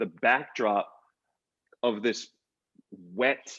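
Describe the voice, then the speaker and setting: With an American accent, a man speaks at a very slow pace in a bright, sharp tone, showing ordinary pitch variation. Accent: New York accent, stronger when angry. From New York (Queens). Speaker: visual artist. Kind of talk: panel conversation. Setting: virtual conversation. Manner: halting with many false starts.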